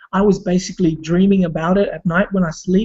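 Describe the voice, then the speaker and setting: With a non-native accent, a man speaks fairly quickly in a dark, mellow tone at a high pitch. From Australia (immigrant family). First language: not English. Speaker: online marketer and former break dancer. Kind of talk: personal story in a group video call. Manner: hesitant, many fillers.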